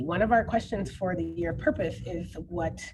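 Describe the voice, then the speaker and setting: A woman speaks with an American accent and some vocal fry. Her voice is fairly low in pitch. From New Jersey, US. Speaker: keynote speaker, education activist. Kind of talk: Q&A after keynote talk. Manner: fast.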